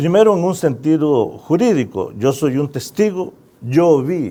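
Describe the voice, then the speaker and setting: A man's dark, mellow voice with lively intonation. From El Salvador, San Salvador. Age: 60s. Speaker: musician and author. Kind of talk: interview.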